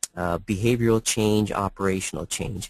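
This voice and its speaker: In a dry, close sound with no echo and a quiet background, a man speaks in a fairly low voice. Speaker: product presenter. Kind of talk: webinar presentation. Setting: online webinar. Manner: fast.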